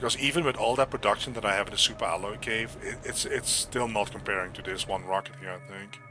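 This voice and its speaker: A man's medium-pitched voice at a very fast pace with hardly any pauses, ordinary pitch variation and music in the background. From Netherlands. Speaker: gaming streamer. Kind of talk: live gameplay commentary. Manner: loud.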